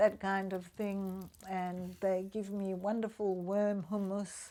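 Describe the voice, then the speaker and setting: A woman at a very slow pace with monotone, flat intonation. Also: medium pitch for a woman. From South Africa. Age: 60s. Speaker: retiree vlogger. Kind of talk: casual vlog talk to camera.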